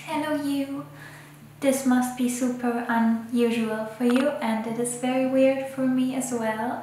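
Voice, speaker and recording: A woman's high-pitched voice in a non-native accent, with monotone, flat intonation, audible room echo and light background noise. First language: not English. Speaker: photographer and illustrator. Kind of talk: casual talk to camera. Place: home room.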